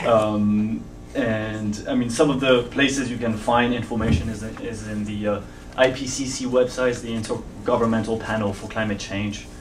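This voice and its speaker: Spoken in a monotone, flat intonation with a French accent, the voice comes through noticeable background noise and audible room echo. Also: man. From France. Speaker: climate researcher. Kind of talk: panel discussion. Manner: halting.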